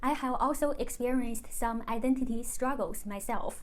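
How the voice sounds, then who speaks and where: A woman speaks in a high pitch with a Chinese accent and ordinary pitch variation. Audible room echo fills the recording. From China. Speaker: YouTuber. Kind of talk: personal vlog monologue.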